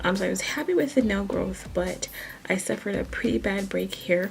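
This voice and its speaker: A woman talks at a moderate pace. Noticeable background noise can be heard throughout. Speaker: nail care vlogger. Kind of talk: tutorial. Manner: casual, hesitant with fillers.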